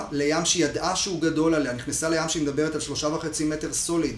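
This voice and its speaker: A man speaks at a fairly quick pace with a fairly high pitch. The room echo is audible and background noise is noticeable. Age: 40s. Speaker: freediver and breath-hold workshop instructor. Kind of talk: podcast interview. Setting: at his home.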